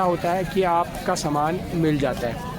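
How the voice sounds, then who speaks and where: A high-voiced man amid noticeable background noise and audible room echo. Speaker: vlogger. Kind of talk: live walkthrough vlog. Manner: halting.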